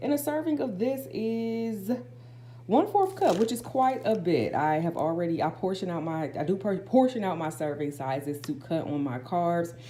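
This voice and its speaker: A woman with a fairly low pitch speaks with very wide pitch swings. Noticeable background noise is present. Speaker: lifestyle vlogger. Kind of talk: haul vlog. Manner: fast; casual, filler-heavy.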